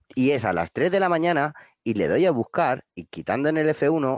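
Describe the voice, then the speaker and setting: Against a quiet background, a man speaks at a fairly slow pace with very wide pitch swings, and the sound is dry and close with no echo. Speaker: gamer. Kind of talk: casual chat.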